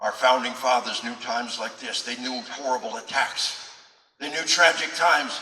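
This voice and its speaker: There is audible room echo as a man at a medium pitch speaks at a moderate pace with fairly even intonation. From Arkansas. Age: 60s. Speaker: retired military officer and police trainer. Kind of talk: public speech. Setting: event hall with audience. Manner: impassioned.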